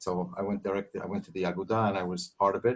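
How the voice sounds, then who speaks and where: The speaker is a man with a fairly low pitch. He talks at a fairly quick pace. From US Northeast, Brooklyn. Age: old. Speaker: audience member, immigrant. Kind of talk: casual remarks in an online Q&A. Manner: halting, repeated words.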